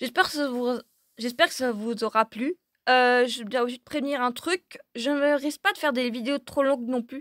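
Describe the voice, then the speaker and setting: With a dry, close sound and no echo, a woman speaks at a moderate pace in a high voice with ordinary pitch variation. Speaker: gaming YouTuber. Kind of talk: video outro, casual talk to viewers.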